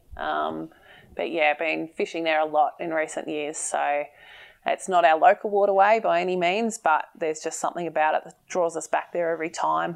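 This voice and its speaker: In an Australian accent, a woman speaks with big swings in loudness against a quiet background. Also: moderate pace. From Victoria, Australia (Bendigo). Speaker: fishing tackle shop owner and angler. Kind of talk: casual interview chat. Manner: hesitant with frequent fillers.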